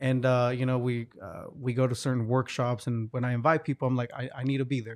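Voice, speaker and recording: A man with a Spanish accent speaks in a monotone with flat intonation. He leaves hardly any pauses. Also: medium pitch for a man, fairly quick pace. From Hidalgo, Mexico, then Oklahoma. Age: 30s. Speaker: entrepreneur and merchant liaison. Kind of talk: casual interview chat.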